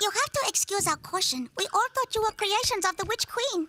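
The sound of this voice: An extremely high-pitched cartoonish character voice at a fairly quick pace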